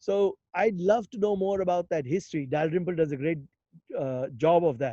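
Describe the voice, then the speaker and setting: The voice has a dark, mellow tone, ordinary pitch variation and a moderate pace. The sound is dry and close with no echo, over a quiet background. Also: man. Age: 60s. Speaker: investor and health innovation speaker. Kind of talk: webinar interview.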